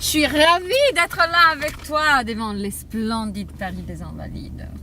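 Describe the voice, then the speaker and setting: A woman with a slight Italian accent speaks at a fairly slow pace in an animated tone, with big swings in loudness. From Italy, Rome. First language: Italian (speaking French). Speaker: journalist and food writer. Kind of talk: casual interview. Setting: in a car.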